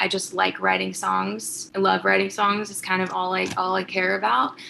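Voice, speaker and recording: This is a woman speaking. Noticeable background noise runs underneath. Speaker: singer-songwriter. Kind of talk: interview.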